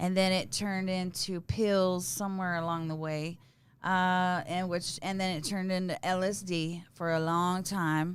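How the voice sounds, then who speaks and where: On a very clean recording with a silent background, a woman with a Texas accent talks at a fairly slow pace in a medium pitch with monotone, flat intonation. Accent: Texas Southern. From East Texas. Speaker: recovery guest. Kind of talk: testimony. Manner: halting, many fillers.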